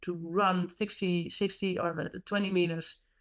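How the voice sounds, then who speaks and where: On a very clean recording with a silent background, a woman with a Dutch accent speaks very slowly at a fairly low pitch with fairly even intonation. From Netherlands. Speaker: hockey coach. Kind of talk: interview. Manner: halting.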